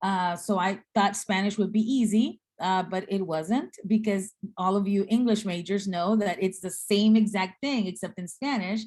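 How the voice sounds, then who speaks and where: Somewhat breathy, a woman speaks at a moderate pace and a medium pitch with ordinary pitch variation, on a very clean recording with a silent background. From Guatemala and South Texas (Rio Grande Valley). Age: 50s. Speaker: seminary dean and speaker. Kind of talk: talk in a speaker series.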